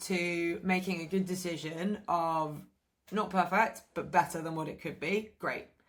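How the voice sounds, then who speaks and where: A woman talks in a plain, everyday voice at a medium pitch. Her pace is fairly slow. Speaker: fitness coach. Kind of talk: tutorial.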